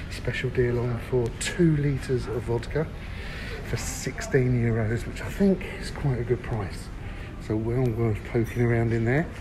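A man talks at a fairly slow pace with ordinary pitch variation. Noticeable background noise runs underneath. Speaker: travel reviewer. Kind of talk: casual walkthrough commentary. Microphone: phone near.

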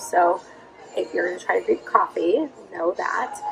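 A woman at a moderate pace with clear music in the background. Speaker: travel vlogger. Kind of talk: casual vlog chat. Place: shop. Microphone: phone near.

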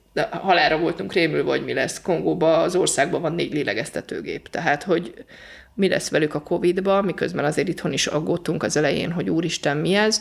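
Vocal fry at a fairly quick pace with ordinary pitch variation, on a very clean recording with a silent background. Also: woman, fairly low pitch for a woman. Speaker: volunteer aid worker. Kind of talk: interview.

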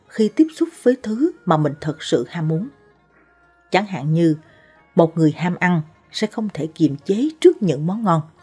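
Faint music in the background behind a woman with a fairly low pitch at a fairly slow pace. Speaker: presenter. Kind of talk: narrated advice talk. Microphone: studio mic.

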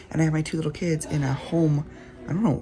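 Clear background music behind a woman speaking. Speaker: family vlogger. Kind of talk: casual vlog chat. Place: home room. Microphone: phone near.

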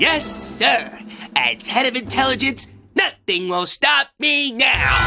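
Someone shouts at a high pitch and a fairly slow pace. Faint music sits in the background. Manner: excitable, childish, eager.

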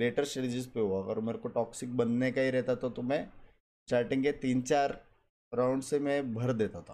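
A man's dark, mellow tone at a fairly slow pace. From India. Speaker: gaming streamer. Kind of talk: explanatory monologue. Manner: animated. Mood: upset, defensive. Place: home room. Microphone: headset.

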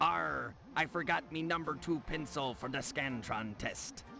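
A man puts on a character voice at a fairly high pitch and a moderate pace. Background noise is clearly audible. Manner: joking, comedic.

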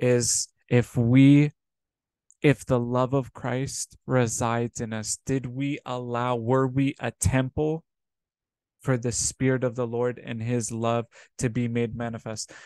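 A man speaks at a very slow pace in a dark, mellow tone with monotone, flat intonation, in a dry sound with no echo over a quiet background. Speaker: preacher. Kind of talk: sermon. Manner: earnest, exhorting, repeatedly addressing listeners as brothers and sisters; warm and pastoral. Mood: earnest, exhorting. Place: home room. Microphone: webcam.

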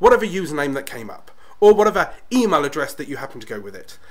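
A man's fairly high voice with a British accent at a very fast pace. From Britain. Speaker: YouTube tips creator. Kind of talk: tutorial. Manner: energetic.

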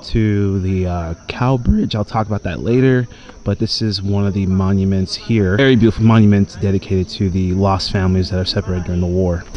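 A plain, everyday voice moves at a fairly quick pace with fairly even intonation, the sound dry with no echo and light background noise behind it. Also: man. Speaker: travel vlogger. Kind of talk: casual vlog commentary. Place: open country. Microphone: phone near.

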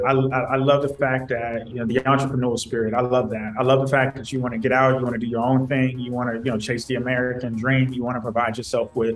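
Faint music plays in the background as a man speaks very fast in a monotone, flat way. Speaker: remote guest. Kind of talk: interview answer. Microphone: video call.

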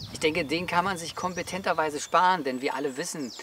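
This man's voice sounds dry with no echo, over light background noise. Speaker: outdoor gear reviewer. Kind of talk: explanatory talk to camera. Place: open country.

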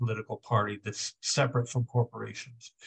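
Somewhat breathy and monotone with flat intonation, the voice moves at a fairly quick pace against a quiet background. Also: man. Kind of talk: political discussion remarks. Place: home room. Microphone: video call.

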